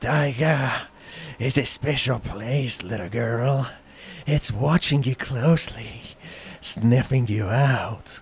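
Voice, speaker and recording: In a put-on character voice, a soft-spoken man talks at a very slow pace with a medium pitch. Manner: gentle, warning.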